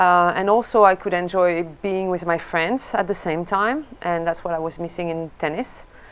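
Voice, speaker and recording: With a French accent, a woman speaks at a moderate pace and a fairly low pitch. She leaves hardly any pauses. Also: ordinary pitch variation. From France. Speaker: golf coach and former pro golfer. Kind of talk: interview. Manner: hesitant, many fillers.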